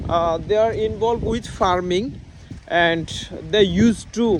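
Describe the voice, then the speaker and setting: A man speaks with a Bangladeshi accent at a fairly slow pace. His pitch variation is ordinary. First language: Bengali. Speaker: English learner vlogger. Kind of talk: casual vlog speaking practice. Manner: halting, many fillers.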